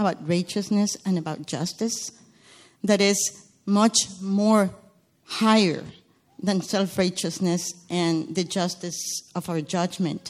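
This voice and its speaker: A woman with a Spanish accent speaks very slowly at a medium pitch, using ordinary pitch variation. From Guatemala. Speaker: churchgoer sharing testimony. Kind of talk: testimony. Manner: halting.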